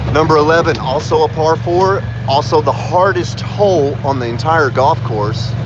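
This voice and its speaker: A man with an American accent talks at a moderate pace and medium pitch, with ordinary pitch variation. Audible room echo and noticeable background noise are present. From Texas. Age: 40s. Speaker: live streamer. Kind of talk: casual live stream chat. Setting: outdoors on a golf course.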